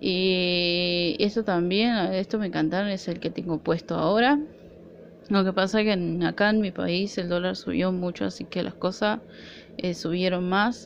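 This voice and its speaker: Fairly slow, fairly even speech in an Argentine accent, over light background noise. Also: woman. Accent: Argentine Spanish (Rioplatense). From Argentina. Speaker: nail art vlogger. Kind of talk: product haul video; casual haul vlog chat. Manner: casual, hesitant. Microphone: phone near.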